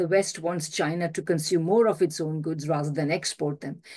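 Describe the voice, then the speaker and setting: A woman speaks at a moderate pace with a fairly low pitch and a dark, mellow tone. The background is quiet. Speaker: professor giving a remote speech. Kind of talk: formal speech. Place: home room. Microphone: video call.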